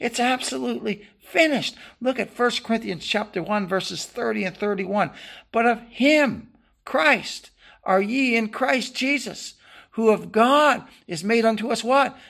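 A woman's fairly high voice with vocal fry, ordinary pitch variation and a moderate pace, on a very clean recording against a silent background. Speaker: preacher. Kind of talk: sermon. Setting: church. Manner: impassioned, emphatic pulpit delivery with repetition and exclamations; rhythmic, building cadence with fervent refrains.

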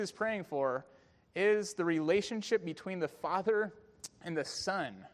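A moderate pace in a Californian accent, with ordinary pitch variation over a quiet background. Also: man. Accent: Californian American. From US, San Francisco Bay Area. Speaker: pastor. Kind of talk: sermon. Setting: church.

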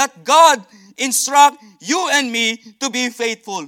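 Extremely high-pitched for a man, his bright, sharp voice is raised and projected, recorded dry and close with no echo. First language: not English. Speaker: visiting missionary preacher. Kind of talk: sermon. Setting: church. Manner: halting.

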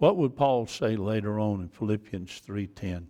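A man talks with a Georgia accent. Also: very clean recording, silent background. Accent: US South (Georgia). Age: 70s. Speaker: pastor. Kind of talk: sermon. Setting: church.

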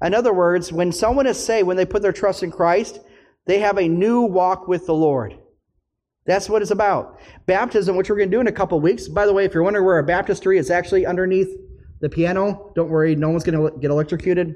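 A man speaks very fast in a high pitch. His intonation is fairly even and his loudness is very even. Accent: Upper Midwest. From US Midwest, northern Minnesota. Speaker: pastor. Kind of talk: sermon.

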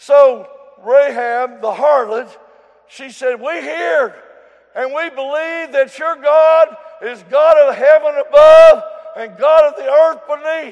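This man's pitch is extremely high, with big swings in loudness. His intonation is fairly even, and he talks at a very slow pace. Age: 70s. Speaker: preacher. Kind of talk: sermon. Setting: church.

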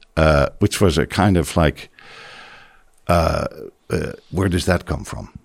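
A man with a Dutch accent speaks at a fairly slow pace. His very deep, low voice carries vocal fry. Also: long, frequent pauses. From Netherlands. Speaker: pastor. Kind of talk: interview. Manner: halting.

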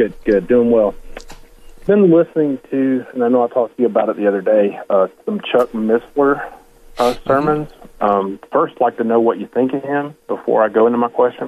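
This is a plain, everyday voice. It moves at a fairly quick pace with ordinary pitch variation. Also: man, medium pitch for a man. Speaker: caller, ministry volunteer. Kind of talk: call-in radio question. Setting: phone call.

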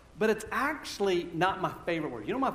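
This man's voice sits high in pitch. Audible room echo surrounds it. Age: 50s. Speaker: pastor. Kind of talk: sermon. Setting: church. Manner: halting.

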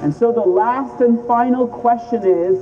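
Lively intonation marks this fairly slow delivery, heard over noticeable background noise. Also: man. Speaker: street preacher. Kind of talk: open-air gospel sermon. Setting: outdoors on a city street.

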